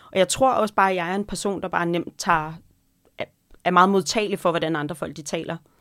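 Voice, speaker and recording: A woman's fairly low voice at a very fast pace, on a very clean recording with a silent background. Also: fairly even intonation. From North Jutland, Denmark. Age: 40s. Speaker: podcast co-host, restaurant owner and cookbook writer. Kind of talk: casual chat.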